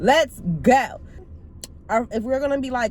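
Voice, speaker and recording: Noticeable background noise sits behind a woman's voice. She speaks at a fairly quick pace in an animated tone. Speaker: YouTuber. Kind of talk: casual vlog talk to camera. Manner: loud.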